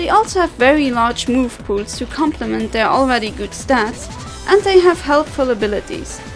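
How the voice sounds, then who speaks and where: A woman is speaking at a moderate pace. Music can be heard behind her. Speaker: video game countdown narrator. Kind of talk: video countdown narration.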